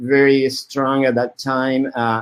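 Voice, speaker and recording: A man with a Spanish accent and a fairly high pitch. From Colombia. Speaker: media artist. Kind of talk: interview. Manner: halting, many repetitions.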